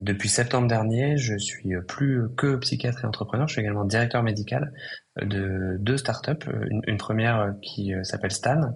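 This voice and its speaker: Here is a man with a fairly low pitch. He talks at a moderate pace. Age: 20s. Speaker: psychiatrist and entrepreneur. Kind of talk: podcast interview. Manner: hesitant, many fillers.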